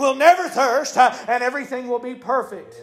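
A man's extremely high-pitched voice at a moderate pace, with ordinary pitch variation and noticeable background noise. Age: 40s. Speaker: preacher. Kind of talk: sermon. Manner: hesitant fillers.

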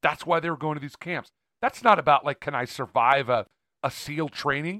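In a very clean recording with a silent background and a dry, close sound with no echo, a man talks at a very fast pace in a fairly high pitch, his tone bright, sharp and animated. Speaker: podcast co-host. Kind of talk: casual banter. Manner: joking, animated.

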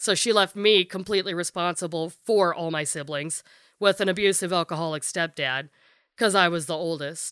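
An unremarkable speaking voice from a woman, fairly low in pitch with ordinary pitch variation and a moderate pace, on a very clean recording with a silent background and a dry, close sound with no echo. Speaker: guest sharing life story. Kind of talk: casual personal interview, testimony. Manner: candid, profane.

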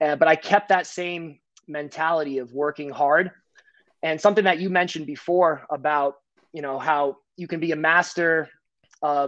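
With an American accent, a man speaks in a plain, everyday voice, fairly high in pitch and with fairly even intonation. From US Northeast, New Jersey. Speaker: financial professional and martial artist. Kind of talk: casual interview chat.

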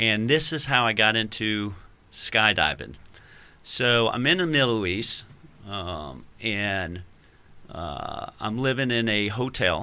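Very slow and broken by long, frequent pauses, a man's speech has an American accent, a fairly low pitch, a bright, sharp tone and lively intonation. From Virginia, US. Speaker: retired army ranger, wingsuit team captain. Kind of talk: casual interview chat. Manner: halting, many fillers.

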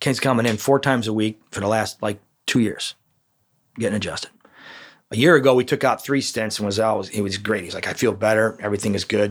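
A man with a Chicago accent talks very fast at a fairly low pitch. The recording is very clean with a silent background. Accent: Chicago American. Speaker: chiropractor. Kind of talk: interview. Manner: loud; animated.

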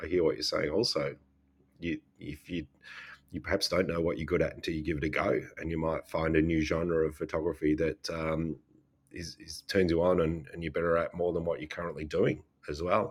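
A man with an Australian accent speaks at a fairly quick pace in a very deep, low voice with monotone, flat intonation. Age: 40s. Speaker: photographer and podcast co-host. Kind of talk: casual chat.

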